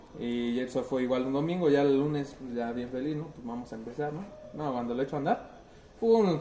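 A man with a central Mexican accent at medium pitch and a fairly quick pace, ordinary pitch variation, noticeable background noise behind him. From central Mexico. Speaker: car club member. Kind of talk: casual chat.

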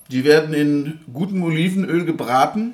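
At a fairly slow pace, a fairly high-pitched man speaks over noticeable background noise with audible room echo. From Franconia, Germany. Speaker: music podcast host. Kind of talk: scripted narration.

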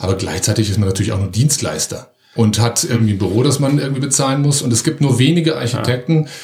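A man speaks very fast with lively intonation, keeping his loudness very even. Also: medium pitch for a man. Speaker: amateur comedian. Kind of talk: casual interview chat.

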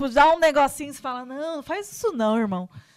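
A woman speaks in an animated tone with a high pitch and very wide pitch swings. The recording is very clean, with a silent background. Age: 30s. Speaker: podcast host. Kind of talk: casual chat.

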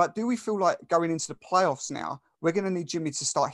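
This man speaks with an Essex accent and ordinary pitch variation. The background is quiet. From England, Essex. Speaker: sports podcast host. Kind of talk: casual sports chat.

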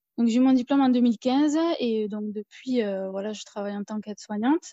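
Her tone dark and mellow, a woman speaks at a fairly high pitch with fairly even intonation. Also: dry, close sound with no echo. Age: 30s. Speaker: self-taught painter and nursing assistant. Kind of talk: casual interview.

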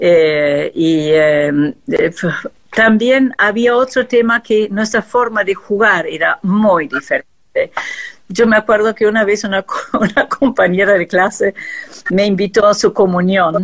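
A woman with a German accent talks at a very slow pace, with ordinary pitch variation and very even loudness. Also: medium pitch for a woman. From Argentina, arrived from Austria as small child. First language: German (speaking Spanish). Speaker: textile artist. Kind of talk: interview.

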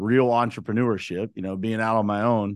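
Against a quiet background, a man with an American accent uses a normal speaking voice, fairly low in pitch, moving at a fairly quick pace with fairly even intonation. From western Pennsylvania, Uniontown. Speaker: construction business owner. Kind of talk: casual interview.

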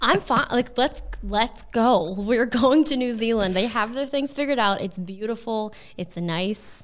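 Fairly slow and fairly high in pitch, a woman speaks in an ordinary speaking voice with ordinary pitch variation. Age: 30s. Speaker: content creator. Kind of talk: casual chat.

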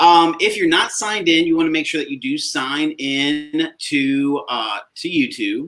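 A man with an American accent has an ordinary speaking voice, talking at a fairly slow pace with hardly any pauses, a fairly high pitch and ordinary pitch variation. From South Carolina. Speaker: digital learning coach. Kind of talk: tutorial.

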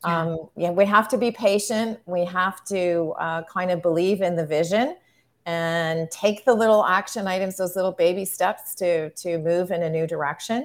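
Moderate pace, medium pitch and ordinary pitch variation from a woman with an unremarkable speaking voice. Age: 60s. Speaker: marketing consultant and artist. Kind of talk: interview conversation.

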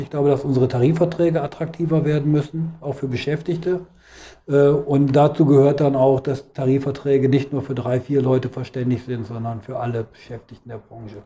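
With a fairly high pitch and fairly even intonation, a man talks at a fairly quick pace in a somewhat breathy voice, his loudness swinging widely. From Hannover, northern Germany. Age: 50s. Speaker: trade union official. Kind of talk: interview. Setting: union office.

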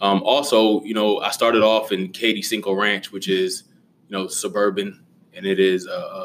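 A man with a fairly low pitch and ordinary pitch variation speaks against noticeable background noise. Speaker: high school teacher and basketball coach. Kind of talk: casual interview chat. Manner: hesitant with fillers.

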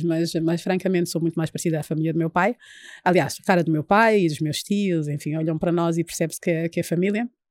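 A woman with a fairly low pitch and an ordinary speaking voice talks at a fairly quick pace in a very clean recording with a silent background. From Angola, Luanda. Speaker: party leader. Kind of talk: interview.

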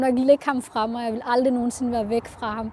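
Speaking at a fairly quick pace, a woman has a fairly high voice with a dark, mellow tone. Her intonation is flat and monotone, and the recording is very clean with a silent background. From Denmark, Central Jutland. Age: 20s. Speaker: adoptee, university student. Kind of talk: personal testimony interview. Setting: on a train. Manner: hesitant, many fillers.

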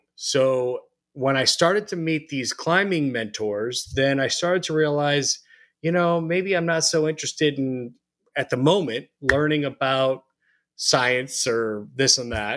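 A man with an American accent and an unremarkable speaking voice talks at a fairly slow pace with ordinary pitch variation, on a very clean recording with a silent background. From Arizona (Phoenix). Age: 40s. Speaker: rope access technician and company owner. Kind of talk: interview.

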